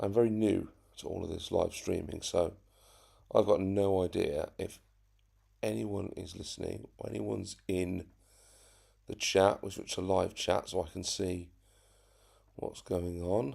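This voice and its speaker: A quiet man speaks at a fairly slow pace with long, frequent pauses. The recording is very clean, with a silent background. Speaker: RC hobby YouTuber. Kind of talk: live stream chat. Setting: home live stream. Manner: talking very quietly.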